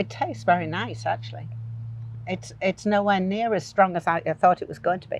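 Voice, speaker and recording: A woman's fairly low voice with very wide pitch swings and a Yorkshire accent. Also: fairly quick pace. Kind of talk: casual conversation.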